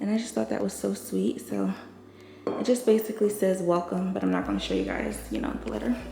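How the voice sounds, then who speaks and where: The speaker mumbles at a moderate pace over noticeable background noise. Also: woman. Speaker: lifestyle vlogger. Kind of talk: casual apartment tour vlog. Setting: indoors, empty apartment. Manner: mumbly because wearing a mask; chatty, casual.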